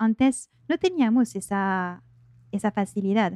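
In a quiet background, a woman with a slight French accent speaks at a fairly high pitch in a dark, mellow tone, the sound dry and close with no echo. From France. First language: French (speaking Spanish). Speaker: life coach. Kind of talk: interview. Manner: hesitant, many fillers.

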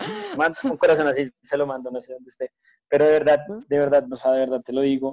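A man at a very fast pace, fairly high in pitch with fairly even intonation, in a dry, close recording with no echo. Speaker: podcast co-host. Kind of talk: casual chat.

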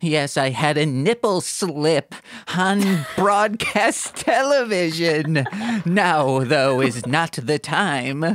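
A put-on character voice at a middle pitch. The delivery comes very slowly. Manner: creepy then sweet.

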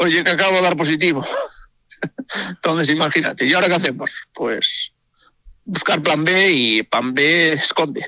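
Pitched high, a man talks at a moderate pace with ordinary pitch variation, very even loudness, and long, frequent pauses. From Galicia, Spain. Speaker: amateur rally driver. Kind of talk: radio interview.

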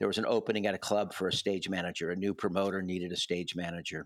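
The recording is very clean, with a silent background. A man talks at a very fast pace with a fairly low pitch. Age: 60s. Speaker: music festival founder and university professor. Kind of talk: casual interview.

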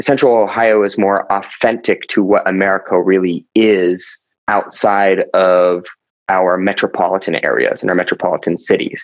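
With a plain, everyday voice, a man speaks at a fairly low pitch and fairly slow pace, keeping very even loudness and fairly even intonation. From US East Coast, military family that moved often. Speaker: denim blogger and father. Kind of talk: casual interview.

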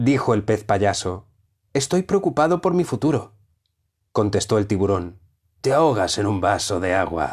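A man speaks with a fairly low pitch and a somewhat breathy sound, his pitch swinging very widely. He leaves long, frequent pauses against a quiet background. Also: very even loudness. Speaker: audiobook narrator. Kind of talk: dramatic narration of flash fiction.

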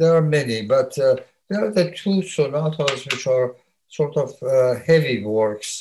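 Somewhat breathy, a man speaks at a moderate pace with a fairly high pitch. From Iran. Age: 90s. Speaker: composer and retired music professor. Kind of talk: interview. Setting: video call. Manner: halting.

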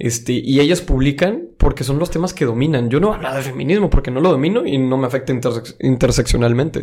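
The speaker has a Monterrey accent. The pace is moderate. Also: man. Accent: Monterrey accent, posh-sounding. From Monterrey, Mexico. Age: 20s. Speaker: university student. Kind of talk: casual chat.

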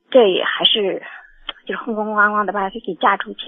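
A woman with a fairly high voice talks at a fairly quick pace over noticeable background noise. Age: 50s. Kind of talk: phone-in call. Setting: phone call. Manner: halting.

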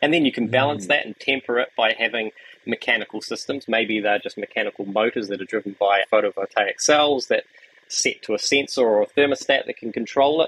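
Recorded with a dry, close sound and no echo, a man speaks at a fairly quick pace in a New Zealand accent. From New Zealand, Wellington. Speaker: architect. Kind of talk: interview conversation.

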